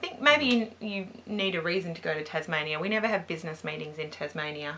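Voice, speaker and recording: A woman with an Australian accent talks at a very fast pace and a fairly low pitch, with ordinary pitch variation. Noticeable background noise is present. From Perth, Western Australia. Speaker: beauty vlogger. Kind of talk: casual chat.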